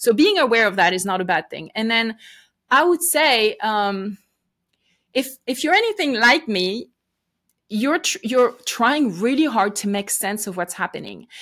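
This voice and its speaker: A woman with a French accent, fairly high pitch and very wide pitch swings, on a very clean recording with a silent background. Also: fairly slow pace. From France. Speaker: podcaster and ministry leader. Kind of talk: interview.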